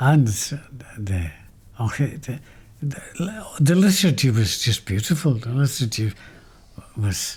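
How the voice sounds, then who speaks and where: Somewhat breathy speech at a very slow pace, with long, frequent pauses and very wide pitch swings. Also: man, medium pitch for a man. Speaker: former seminary student. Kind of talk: interview answer.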